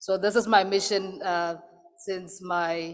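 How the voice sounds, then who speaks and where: A woman with a Lesotho accent, medium in pitch. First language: Sesotho. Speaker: associate professor. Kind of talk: conference presentation.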